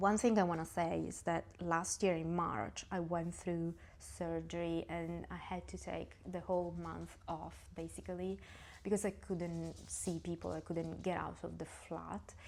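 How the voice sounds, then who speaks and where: A woman speaks at a fairly slow pace. She has an Italian accent. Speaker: knitting vlogger. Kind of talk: casual vlog talk. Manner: halting.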